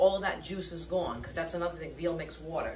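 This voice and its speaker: Fairly low pitch from a woman, with light background noise and audible room echo. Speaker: home cook host. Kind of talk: cooking tutorial. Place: kitchen. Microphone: camera far.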